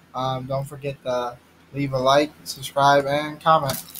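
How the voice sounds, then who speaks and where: The man talks while noticeable background noise carries through the clip. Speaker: vlogger. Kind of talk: casual vlog chat, snack review. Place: home room. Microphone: webcam.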